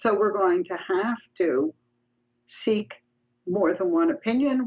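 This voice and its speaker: A woman with a New York accent talks at a moderate pace and medium pitch, with very wide pitch swings. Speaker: psychology professor. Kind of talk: interview conversation.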